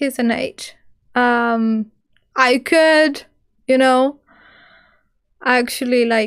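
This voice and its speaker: Speaking at a very slow pace, a woman leaves long, frequent pauses. Her pitch is high, and her intonation stays fairly even. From Greece. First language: Greek. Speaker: witch and paranormal content creator. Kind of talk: live stream Q&A. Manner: casual, rambling with fillers.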